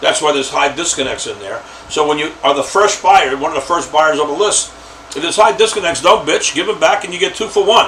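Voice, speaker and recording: Over noticeable background noise, a high-pitched man speaks at a fairly quick pace with ordinary pitch variation. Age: old. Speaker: lead list broker. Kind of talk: casual talk to camera. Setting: home office. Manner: halting, many fillers.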